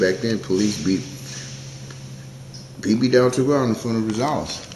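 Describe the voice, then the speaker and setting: Through noticeable background noise and audible room echo, a man with a fairly low pitch talks at a fairly quick pace with lively intonation. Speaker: community activist and video show host. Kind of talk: casual monologue to camera. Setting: City Hall. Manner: fast.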